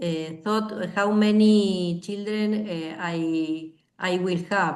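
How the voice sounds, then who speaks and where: A woman's medium-pitched voice with a Spanish accent, very slow and fairly even in intonation, with audible room echo. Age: 60s. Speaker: language student. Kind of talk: language class discussion. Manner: halting, many fillers.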